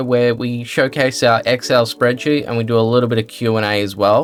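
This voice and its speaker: Someone with a slight Australian accent talks at a very fast pace. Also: man. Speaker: gaming YouTuber. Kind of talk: casual Q&A chat.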